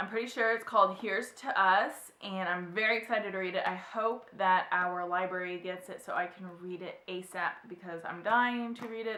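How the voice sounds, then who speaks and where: Medium in pitch with ordinary pitch variation, a woman speaks in a plain, everyday voice. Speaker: book vlogger. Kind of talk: casual chat. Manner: chatty.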